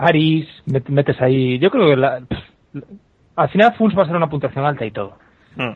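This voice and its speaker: A fairly high-pitched man at a moderate pace, with long, frequent pauses. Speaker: comedy podcaster. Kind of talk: casual chat.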